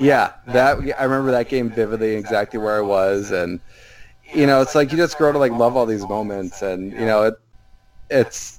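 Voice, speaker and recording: This man has an ordinary speaking voice with an American accent and a medium pitch. His pace is moderate, with ordinary pitch variation. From Minnesota. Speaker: basketball writer. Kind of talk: casual chat.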